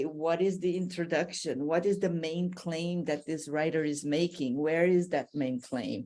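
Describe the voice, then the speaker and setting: With a Brazilian accent, a woman speaks fairly slowly at a fairly low pitch, her intonation fairly even. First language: Portuguese. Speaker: language teacher. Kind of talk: podcast interview.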